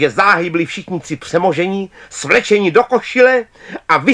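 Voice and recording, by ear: A passage is being read aloud in a natural voice.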